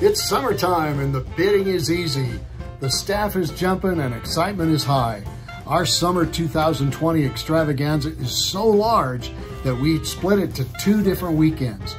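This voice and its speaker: Clear music plays in the background as a man with a fairly high-pitched voice talks at a moderate pace. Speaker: auction house owner presenting auction items. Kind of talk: auction promotional presentation to camera. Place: office. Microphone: phone near.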